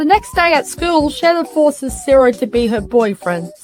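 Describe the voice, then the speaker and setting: A woman speaks in a high pitch at a moderate pace. Her pitch swings very widely, with music in the background. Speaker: movie reviewer. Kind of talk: comedic review narration. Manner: sarcastic.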